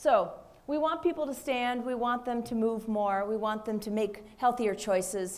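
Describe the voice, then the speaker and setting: A fairly high-pitched woman with a Minnesota accent and ordinary pitch variation. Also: moderate pace. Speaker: physician. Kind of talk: panel discussion.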